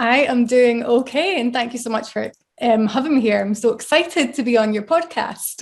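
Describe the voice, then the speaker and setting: In a Scottish accent, a woman speaks at a high pitch and a moderate pace with ordinary pitch variation. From northeast Scotland, Arbroath. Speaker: brain injury survivor, blogger. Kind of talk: interview.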